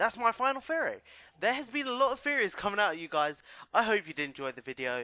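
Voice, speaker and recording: Raising and projecting his high voice, a man talks at a very fast pace in a bright, sharp tone, with very wide pitch swings. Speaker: gaming YouTuber. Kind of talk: video game commentary. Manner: hesitant, many fillers.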